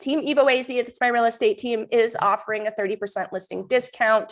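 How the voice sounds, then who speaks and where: A woman talks with a New Hampshire accent. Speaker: mom group host and real estate agent. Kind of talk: live stream update. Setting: live stream. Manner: casual, chatty.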